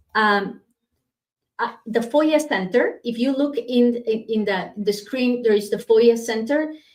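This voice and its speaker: A woman's fairly high voice with a strong non-native accent, fairly slow pace and ordinary pitch variation. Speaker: immigration lawyer. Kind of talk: live stream Q&A. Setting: livestream. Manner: hesitant, many fillers.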